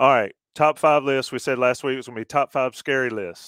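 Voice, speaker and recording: Recorded very cleanly with a silent background and a dry, close sound with no echo, a man in a plain, everyday voice speaks fairly quickly at a medium pitch with fairly even intonation. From US South. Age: 50s. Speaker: podcast host. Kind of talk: casual chat.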